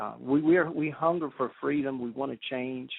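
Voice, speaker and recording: In a Southern US accent, a man talks at a medium pitch with ordinary variation. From South Carolina Midlands. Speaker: grassroots political activist. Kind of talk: radio talk show interview. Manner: halting.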